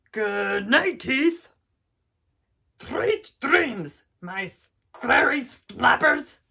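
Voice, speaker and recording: A put-on, theatrical character voice that sounds female and high-pitched crawls along very slowly, with long, frequent pauses. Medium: read story. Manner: boastful, theatrical growling.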